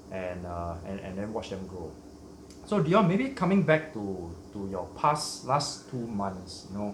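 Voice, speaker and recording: Amid audible room echo and noticeable background noise, a man talks at a fairly slow pace in a fairly low pitch with lively intonation. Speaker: shrimp hobby channel host. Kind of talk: casual interview chat.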